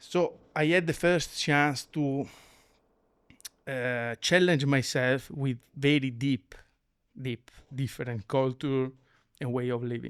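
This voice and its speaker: In a Venetian accent, a man speaks at a very slow pace with long, frequent pauses. His medium pitch carries fairly even intonation on a very clean recording with a silent background. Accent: Venetian Italian. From Italy, Venice area. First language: Italian. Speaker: lighting design company executive. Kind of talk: interview conversation. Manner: halting, many fillers.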